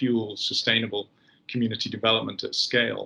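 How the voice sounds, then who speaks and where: Speaking at a moderate pace, a man with a British accent keeps a monotone, flat intonation. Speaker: company executive. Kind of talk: interview.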